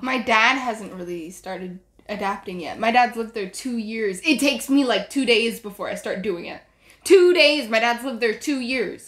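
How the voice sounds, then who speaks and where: The speaker has an American accent and lively intonation, talking at a moderate pace. Loudness swings a lot from moment to moment. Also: woman, fairly high pitch for a woman. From US South. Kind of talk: casual chat.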